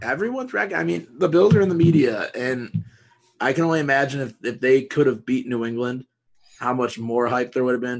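With an American accent, a man speaks at a very fast pace. His medium-pitched voice has lively intonation. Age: 20s. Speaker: podcast host. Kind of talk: casual chat.

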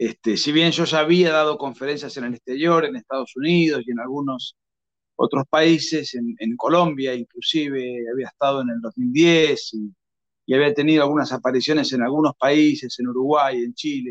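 A man talks at a fairly high pitch and a moderate pace. His is a plain, everyday voice with ordinary pitch variation. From Argentina. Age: 40s. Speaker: author and lecturer. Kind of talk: interview. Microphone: connection problems at the end.

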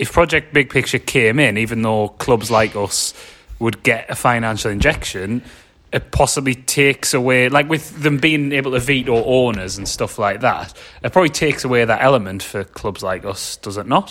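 A man's medium-pitched voice with a Sunderland accent, ordinary pitch variation, and a moderate pace. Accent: northern English (Sunderland area). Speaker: football podcast host. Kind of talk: casual banter chat.

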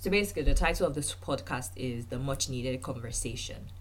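Speaking at a fairly quick pace, a woman has an extremely low pitch. Her pitch variation is ordinary.

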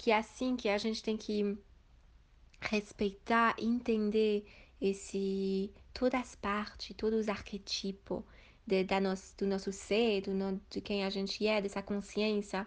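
Against a quiet background, a woman speaks at a fairly slow pace. Her intonation stays monotone and flat. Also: medium pitch for a woman. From Switzerland. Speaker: sacred feminine practitioner. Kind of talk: interview. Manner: halting.

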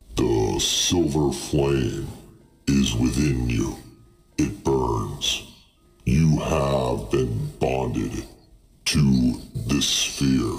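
A man puts on a character voice with a very deep, low pitch, speaking at a very slow pace with long, frequent pauses. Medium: actual play. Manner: slow, grave, formal.

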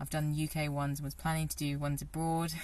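In a monotone, flat delivery, a woman speaks at a very deep, low pitch. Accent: British. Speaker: personal trainer. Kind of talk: casual interview. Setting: outdoors.

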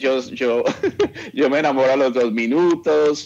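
This man talks at a fairly slow pace with medium pitch. It is an ordinary speaking voice. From Colombia, Bogotá. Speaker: journalist. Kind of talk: interview.

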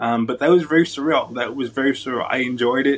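Very fast speech from a man of medium pitch with an American accent. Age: 20s. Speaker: wheelchair bodybuilder and actor. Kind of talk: casual interview.

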